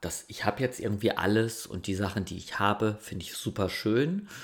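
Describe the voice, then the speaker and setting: A man speaks in a calm tone. The recording is very clean, with a silent background. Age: 50s. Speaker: sleep podcast host. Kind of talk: storytelling. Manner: hesitant.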